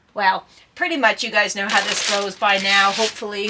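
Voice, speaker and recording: A woman talks at a fairly quick pace in a medium pitch with fairly even intonation. Noticeable background noise is present. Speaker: former paramedic puzzle vlogger. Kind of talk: casual vlog chat. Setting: greenhouse. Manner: loud; hesitant, many fillers.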